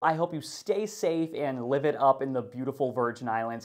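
Against a quiet background, a man with a fairly high voice talks at a moderate pace with ordinary pitch variation. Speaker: weather forecaster. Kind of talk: weather report, upbeat scripted daily forecast read to camera. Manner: cheerful and friendly, folksy greetings to viewers; clear, steady delivery of figures in both units. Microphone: lapel.

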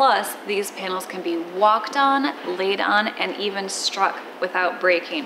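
Through noticeable background noise, a woman's voice moves with ordinary pitch variation. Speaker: sailing vlogger. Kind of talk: sponsored product presentation. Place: workshop.

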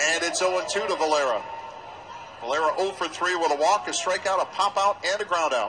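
Through noticeable background noise, a high-pitched man talks at a fairly quick pace with ordinary pitch variation. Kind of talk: live baseball play-by-play commentary. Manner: fast, fluent play-by-play delivery, calling each pitch and count as it happens; lightly amused and conversational, joking about the umpire.

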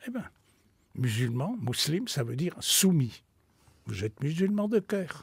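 A man with fairly high pitch talks at a fairly slow pace, leaving long, frequent pauses between very wide pitch swings. The sound is dry with no echo, and the background is quiet. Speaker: spiritual teacher and author; spiritual teacher. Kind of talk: radio interview. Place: studio.

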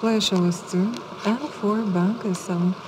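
A soft-spoken woman with a relaxed tone and fairly even intonation, over noticeable background noise. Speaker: live baccarat dealer. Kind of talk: casino dealer announcing game rounds. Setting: live casino table. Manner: soft-spoken, relaxed. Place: studio.

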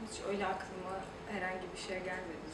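A woman at a fairly slow pace, with audible room echo and loud background noise. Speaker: liver donor. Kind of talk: interview answer. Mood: calm, encouraging.

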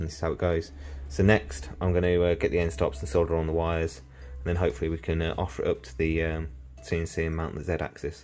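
Faint music plays behind a man who talks at a very fast pace in a very deep, low pitch. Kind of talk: tutorial. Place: workshop. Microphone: phone near.

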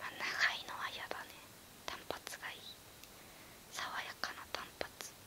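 A woman is whispering. She keeps a moderate pace. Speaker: beauty and otaku YouTuber. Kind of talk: whispered ASMR chat answering questions. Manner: casual, relaxed.

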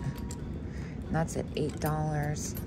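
A woman's voice with music in the background. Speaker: vintage reseller. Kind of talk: casual vlog chat. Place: shop. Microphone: phone near.

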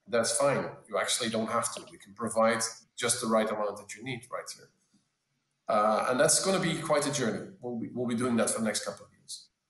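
A man talks at a fairly quick pace with big swings in loudness. Room echo can be heard. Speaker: tech executive; panelist. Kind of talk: panel discussion. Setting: video call. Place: home room. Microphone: webcam.

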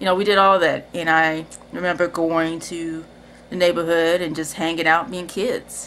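This woman has a fairly low pitch and keeps a moderate pace. Light background noise can be heard. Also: fairly even intonation. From Cincinnati, Ohio, US Midwest; Ohio. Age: 30s. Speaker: video creator; personal storyteller. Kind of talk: personal testimony. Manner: casual, hesitant with fillers. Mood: reflective, warm. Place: home room. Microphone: webcam.

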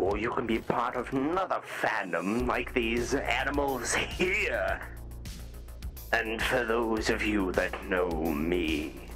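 A man puts on a character voice at a fairly slow pace. Clear music plays in the background. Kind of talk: in-character voice trolling in a social VR game.

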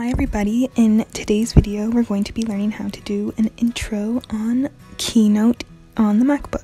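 Soft-spoken and monotone with flat intonation, a woman talks at a moderate pace while faint music plays in the background. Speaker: tutorial creator. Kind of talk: tutorial voice-over. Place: home room.

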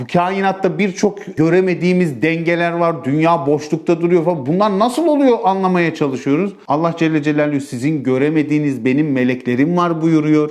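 Speaking at a moderate pace with hardly any pauses, a man uses a high pitch and ordinary pitch variation. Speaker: preacher. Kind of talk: sermon.

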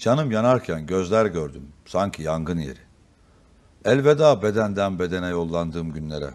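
With lively intonation, a man talks at a fairly slow pace in a very deep, low pitch. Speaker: politician. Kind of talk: poetry reading. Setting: TV studio.

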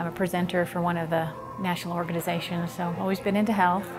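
Over clear music in the background, a woman with an American accent speaks at a fairly low pitch with ordinary pitch variation. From Virginia, USA. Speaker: personal trainer and fitness instructor. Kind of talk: testimonial interview. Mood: calm, reflective, occasionally smiling.

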